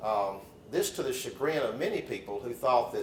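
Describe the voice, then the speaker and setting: A voice with a Southern US accent comes through audible room echo and noticeable background noise. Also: man. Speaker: lawyer. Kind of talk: lecture. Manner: halting, with fillers and repeats.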